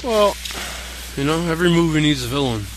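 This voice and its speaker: A man with a Newfoundland accent talks at a fairly quick pace, with audible room echo and noticeable background noise. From Newfoundland, Canada. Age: young. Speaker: pro wrestler. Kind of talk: interview.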